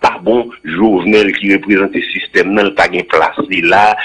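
Against a quiet background, a man speaks at a very slow pace. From Haiti. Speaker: former senator; studio guest or host. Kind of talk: radio interview. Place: studio. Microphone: studio mic.

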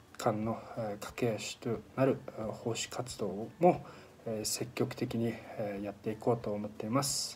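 A man speaks at a fairly slow pace with fairly even intonation. Light background noise is present. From Mongolia. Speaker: alumni association officer. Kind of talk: scripted narration. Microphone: phone near.

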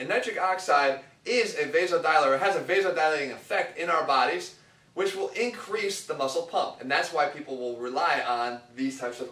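The room echo is audible as a man speaks at a fairly quick pace. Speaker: fitness coach. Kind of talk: lecture. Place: empty room.

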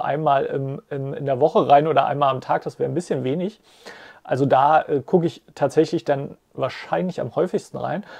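Here a man speaks in a dark, mellow tone. The background is quiet. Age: 30s. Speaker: finance YouTuber. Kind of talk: casual explainer monologue. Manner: hesitant, many filler sounds. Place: home room.

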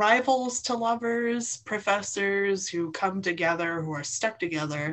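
Her pitch moves in an ordinary way as the woman talks. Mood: cheerful, laughing. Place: home room. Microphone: video call.

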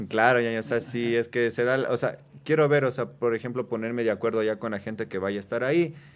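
Very fast delivery with fairly even intonation. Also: man. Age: 20s. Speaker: tattoo artist. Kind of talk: casual chat. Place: studio. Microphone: studio mic.

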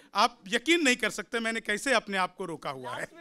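Over light background noise, a man speaks in a raised, projected voice at an extremely high pitch, with lively intonation and a moderate pace. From Bihar. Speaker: poet; comic poet. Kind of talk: stand-up. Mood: jovial, smiling, joking. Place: studio. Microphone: studio mic.

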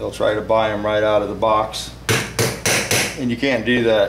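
A man at a fairly quick pace, monotone and flat in intonation, with noticeable background noise. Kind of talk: tutorial. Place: garage. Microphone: camera far.

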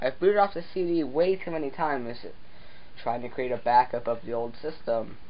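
Someone speaks at a moderate pace over light background noise. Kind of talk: casual tutorial commentary. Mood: jokey, self-deprecating. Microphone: phone near.

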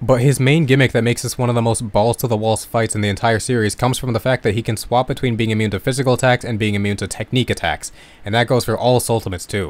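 Medium in pitch, a man's voice races along at a very fast pace. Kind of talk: video essay narration. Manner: monotone.

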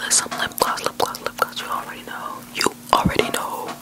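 Over loud background noise, a soft-spoken woman whispers at a fairly quick pace. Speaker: ASMR creator. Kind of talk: soft ASMR product show-and-tell. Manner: soft close-mic ASMR whisper. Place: home room. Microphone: studio mic.

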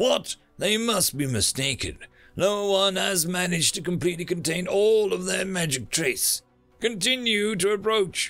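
Putting on a character voice, a man speaks at a fairly slow pace in a high pitch and a fairly bright tone, with faint music in the background. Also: lively intonation.

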